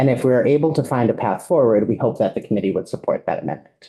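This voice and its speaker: Very fast delivery with ordinary pitch variation. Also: man. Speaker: advocate testifying to legislative committee. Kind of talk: legislative testimony.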